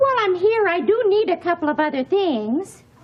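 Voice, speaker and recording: In a squeaky, put-on character voice, a woman speaks at an extremely high pitch. Her pitch swings very widely at a moderate pace. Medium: short film. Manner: saccharine, condescending.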